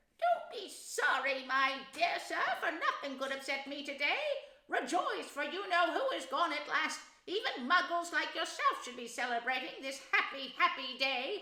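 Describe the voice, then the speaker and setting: A squeaky, high-pitched put-on character voice at a moderate pace, with slight echo. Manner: joyful, gleeful.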